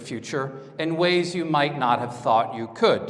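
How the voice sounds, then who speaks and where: The intonation is lively. Audible room echo is present. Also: man. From France. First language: French. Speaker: conference speaker. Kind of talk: lecture. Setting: stage with audience.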